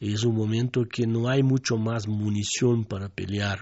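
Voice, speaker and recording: A man speaks at a fairly slow pace, his fairly low voice somewhat breathy. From southern Brazil. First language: Portuguese (speaking Spanish). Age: 60s. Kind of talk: radio interview.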